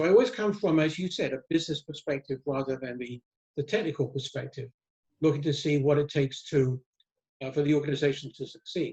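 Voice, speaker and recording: A man with an American accent talks at a very fast pace and sounds somewhat breathy. The sound is dry and close, with no echo. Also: fairly high pitch for a man, ordinary pitch variation. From England. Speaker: risk management author and consultant. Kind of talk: interview. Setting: video call. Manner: halting, many fillers and repeats.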